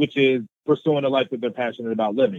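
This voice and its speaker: A man talks at a medium pitch with an American accent. His pitch varies in an ordinary way, and he has an unremarkable speaking voice. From US, Baltimore, Maryland. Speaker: motivational speaker. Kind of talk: interview.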